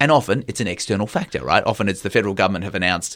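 A man with an Australian accent and a fairly low pitch, on a very clean recording with a silent background. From Country Victoria, Australia. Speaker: TV business reporter. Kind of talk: interview conversation.

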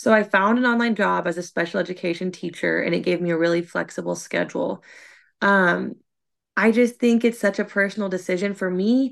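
A woman with an unremarkable speaking voice talks at a fairly quick pace in a medium pitch, her intonation fairly even against a quiet background. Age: 20s. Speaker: mom content creator, former teacher. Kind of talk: casual chat.

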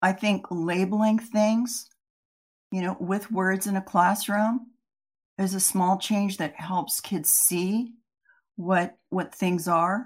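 Very slowly and somewhat breathily, a woman speaks at a medium pitch with fairly even intonation. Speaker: reading researcher. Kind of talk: educational presentation. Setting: webinar presentation. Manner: formal, explanatory.

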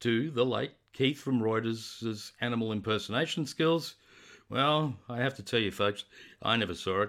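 This is plain reading aloud. The pitch shows ordinary variation.

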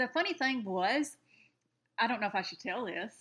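A high-pitched woman's voice with a Southern US accent and very wide pitch swings. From rural Alabama. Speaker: podcast co-host. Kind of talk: casual chat.

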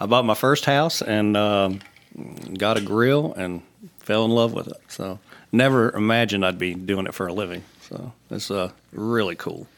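A fairly low-pitched man at a moderate pace, with ordinary pitch variation. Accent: Virginia. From Southwest Virginia, Roanoke. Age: 40s. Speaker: grill company sales manager. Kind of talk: casual chat. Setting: studio.

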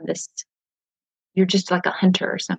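A woman with a Southern US accent speaks at medium pitch, her sound dry and close with no echo. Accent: Southern US, twangy. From Nashville area, Tennessee. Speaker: author and pastor's wife. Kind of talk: casual interview chat. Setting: video call from home, kids nearby.

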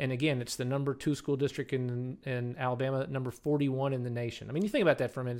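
A man speaks very fast with a Southern US accent at medium pitch. The recording is very clean, with a silent background. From Kentucky. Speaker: mayor. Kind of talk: casual interview.

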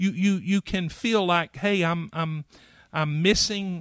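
In a dry, close sound with no echo and a quiet background, a man with an American accent speaks at a high pitch, a very slow pace and fairly even intonation. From western North Carolina. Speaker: denominational pastor advocate. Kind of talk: casual interview chat. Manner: halting, hesitant.

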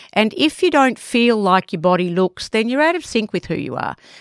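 Very wide pitch swings run through this woman's speech with an Australian accent. The recording is very clean and dry, close with no echo, over a silent background. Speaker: podcast co-host. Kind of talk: casual chat.

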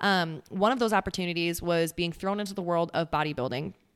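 An unremarkable speaking voice belongs to a woman with a fairly low pitch. She talks at a fairly quick pace with ordinary pitch variation. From US Midwest, central Wisconsin. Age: 20s. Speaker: podcast host and lifestyle coach. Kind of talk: casual chat.

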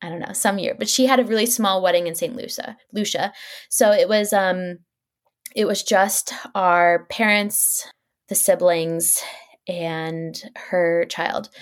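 A woman with an American accent uses an ordinary speaking voice at a medium pitch, speaking at a fairly slow pace with ordinary pitch variation and big swings in loudness. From Dallas, Texas and Chicago. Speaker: blogger and small business founder. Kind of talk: casual interview.

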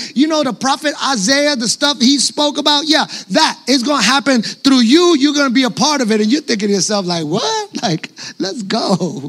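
A man with a New York accent, his pitch extremely high, his intonation lively, at a moderate pace over noticeable background noise. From New York City. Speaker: pastor. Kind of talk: sermon.

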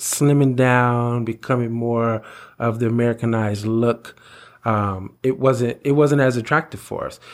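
A plain, everyday voice at a fairly slow pace, on a very clean recording with a silent background. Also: man. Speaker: podcast co-host. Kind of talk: casual chat.

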